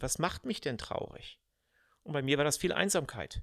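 Recorded very cleanly against a silent background, a man speaks at a moderate pace in a fairly high pitch with lively intonation. The sound is dry and close, with no echo. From Germany, Cologne, later Odenwald. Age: 50s. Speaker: podcast host, management consultant. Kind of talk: personal monologue.

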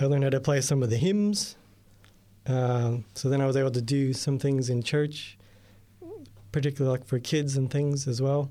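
With an American accent, a man speaks in a fairly high, dark and mellow voice, his intonation fairly even and broken by long, frequent pauses. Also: moderate pace, very clean recording, silent background. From US, New York State. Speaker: radio editor. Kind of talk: testimony. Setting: studio.

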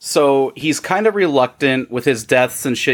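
Speaking at a moderate pace with an American accent, a man with medium pitch makes very wide pitch swings. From Iowa. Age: 30s. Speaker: podcaster, former Jehovah's Witness. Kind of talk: casual chat.

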